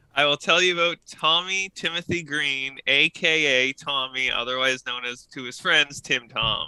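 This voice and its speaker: A man with a Canadian Maritime accent talks with hardly any pauses in a fairly high pitch and a bright, sharp tone. The sound is dry and close, with no echo. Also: ordinary pitch variation, moderate pace. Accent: Canadian maritime accent, moderate. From Maritime Canada.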